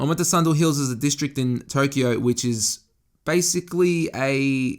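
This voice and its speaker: Recorded very cleanly against a silent background, a man speaks with an Australian accent and ordinary pitch variation. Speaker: fashion and lifestyle podcaster. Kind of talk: casual solo podcast monologue. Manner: casual, conversational with frequent swearing and self-corrections.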